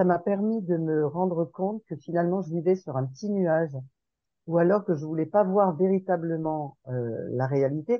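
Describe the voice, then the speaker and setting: Here a woman speaks at a fairly low pitch. Her pitch variation is ordinary. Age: 60s. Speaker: participant in a sharing group. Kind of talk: group sharing session. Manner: hesitant, many fillers.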